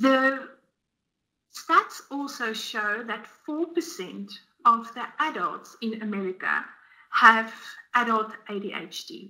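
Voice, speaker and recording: Very slowly and with long, frequent pauses, a woman speaks in a bright, sharp tone. Her intonation is lively and her loudness swings widely. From South Africa. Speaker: dietitian; guest. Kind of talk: webinar presentation. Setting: online webinar. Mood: warm, earnest. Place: home room.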